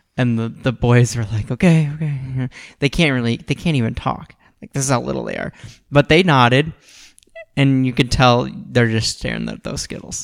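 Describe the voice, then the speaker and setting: On a very clean recording with a silent background, a man talks in a normal speaking voice at a medium pitch, at a moderate pace with fairly even intonation. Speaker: podcast co-host. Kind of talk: casual chat.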